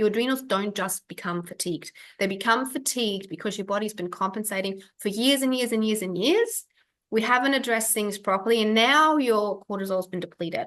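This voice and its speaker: A woman speaks with a slight German accent at a fairly quick pace. Her pitch is fairly high, with ordinary pitch variation. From Germany. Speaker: functional health practitioner. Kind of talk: webinar masterclass. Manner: casual, with many fillers.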